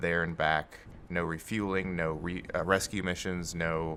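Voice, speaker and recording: Very clean recording, silent background. A man with a very deep, low voice speaks with an American accent. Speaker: gaming video creator. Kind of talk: gameplay commentary. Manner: casual, rambling with fillers.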